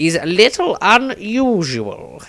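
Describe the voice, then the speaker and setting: A man performs in a put-on character voice. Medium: read story. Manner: grandiose, earnest, rambling.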